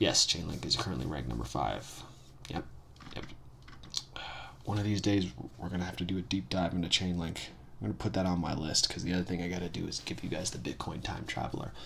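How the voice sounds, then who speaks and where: A quiet man with a very deep, low pitch talks at a very fast pace with lively intonation, broken by long, frequent pauses. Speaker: finance video blogger. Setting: at home early morning with coffee. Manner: quiet, keeps voice low early morning.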